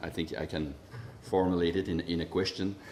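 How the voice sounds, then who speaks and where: A man talks at a fairly quick pace in a Quebec accent. Audible room echo surrounds his voice. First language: French. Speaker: public health official. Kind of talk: conference question and commentary. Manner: halting, many restarts and repetitions.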